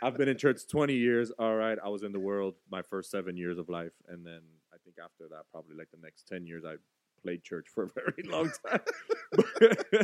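A man with an American accent talks at a moderate pace in an unremarkable speaking voice, his pitch fairly low and his intonation lively. Loudness swings widely, and the sound is dry and close with no echo. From Florida. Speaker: podcast co-host. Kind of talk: casual chat.

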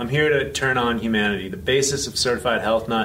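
With an American accent, a man speaks at a medium pitch amid noticeable background noise and audible room echo. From US, San Francisco. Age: 50s. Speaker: health coach and speaker. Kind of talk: interview. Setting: conference venue.

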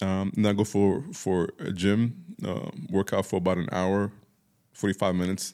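A man's fairly low, dark and mellow voice with fairly even intonation, in a very clean recording over a silent background. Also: moderate pace. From Dubai, UAE. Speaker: soul singer. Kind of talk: interview. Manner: halting, repeats words.

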